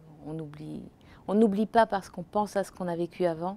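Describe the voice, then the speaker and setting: A woman speaks with a fairly low pitch and a dark, mellow tone. Her pace is moderate and her intonation fairly even. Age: 60s. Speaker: Parkinson's patient. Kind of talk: testimony. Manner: halting.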